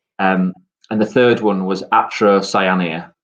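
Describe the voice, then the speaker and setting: In a Yorkshire accent, the speaker goes at a very slow pace with fairly even intonation. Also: man. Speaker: gardening guest. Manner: hesitant, many ums.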